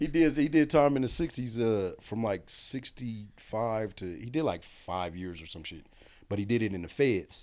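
A man with a plain, everyday voice and an American accent speaks at a moderate pace and medium pitch, with lively intonation and big swings in loudness. The recording is very clean, with a silent background. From Kansas. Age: 40s. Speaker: recently released prisoner. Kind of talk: casual interview.

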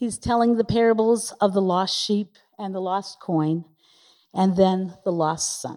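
A woman's medium-pitched voice, dark and mellow in tone, at a fairly slow pace. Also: ordinary pitch variation. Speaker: pastor. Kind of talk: reading aloud. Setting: church.

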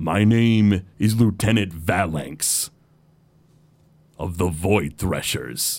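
In a put-on character voice, a man speaks with very deep, low pitch at a very slow pace, leaving long, frequent pauses. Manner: smug, smirking.

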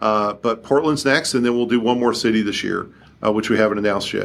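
A man speaks with a Kentucky accent at a fairly quick pace. His intonation stays fairly even. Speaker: company CEO. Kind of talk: interview.

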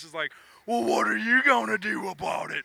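Raising and projecting his voice, a man uses a put-on character voice at a high pitch and a moderate pace. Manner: menacing, challenging.

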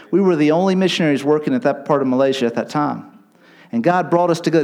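An American-accented man speaks at a fairly quick pace. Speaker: missionary. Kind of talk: sermon. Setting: church.

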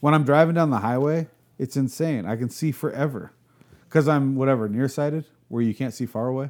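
At a fairly quick pace, a man talks at a medium pitch with ordinary pitch variation in a normal speaking voice. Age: 40s. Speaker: artist, chopper builder and real estate agent. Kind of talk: casual chat. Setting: in person at his place.

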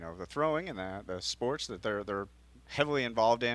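Against a quiet background, a man speaks at medium pitch with ordinary pitch variation. He has an ordinary speaking voice. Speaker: physical therapist. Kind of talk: radio interview explaining.

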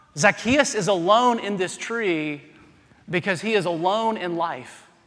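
Speaking with an American accent at a fairly slow pace, a man uses a high pitch and ordinary pitch variation, with audible room echo in the recording. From US South. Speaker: pastor. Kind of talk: sermon. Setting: church.

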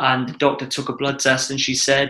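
Here is a man with a Welsh accent and a fairly high pitch. His tone is bright and sharp, and his pace is fairly quick. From Wales. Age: 20s. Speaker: adventurer. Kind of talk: casual chat.

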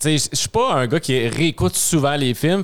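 This is a man speaking. His intonation is lively. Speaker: podcast guest. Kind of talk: casual chat.

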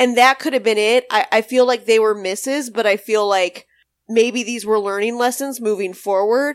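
A woman speaks at a moderate pace in a plain, everyday voice, her pitch fairly high and her intonation fairly even. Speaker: podcast co-host. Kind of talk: casual chat.

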